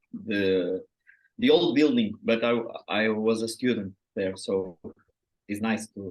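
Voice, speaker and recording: The speaker has a Portuguese accent, fairly even intonation and a fairly slow pace broken by long, frequent pauses. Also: man. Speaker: writer. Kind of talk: interview. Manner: halting.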